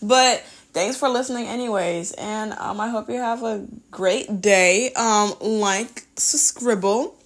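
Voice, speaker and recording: Her pitch fairly high and its variation ordinary, a woman speaks at a very slow pace. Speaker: art YouTuber. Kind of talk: voice-over chat while drawing.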